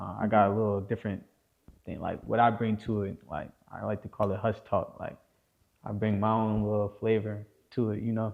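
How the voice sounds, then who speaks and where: A man's fairly low, monotone voice with flat intonation, a fairly quick pace and a New Jersey accent. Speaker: rapper. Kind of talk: casual interview.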